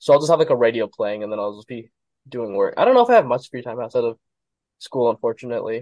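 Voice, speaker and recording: A man with an American accent at a very fast pace, big swings in loudness, and a dry, close sound with no echo. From Arizona. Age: 20s. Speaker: pre-med student. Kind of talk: casual chat.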